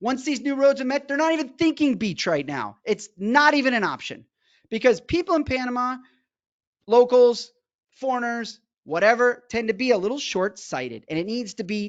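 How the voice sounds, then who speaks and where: This man sounds animated. His pitch is extremely high. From Hawaii. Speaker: real estate agent. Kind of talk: sales pitch. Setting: webinar. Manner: fast.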